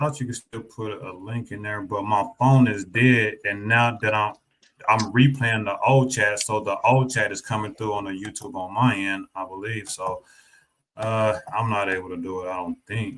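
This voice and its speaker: Speaking at a moderate pace, a man with a Southern US accent has a fairly low pitch and big swings in loudness. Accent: Southern twang. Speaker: streamer and debater. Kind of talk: casual chat.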